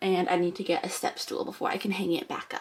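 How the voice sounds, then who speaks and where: Noticeable background noise fills the recording. Over it, a woman speaks at a moderate speed. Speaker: vlogger. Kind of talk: casual vlog chat.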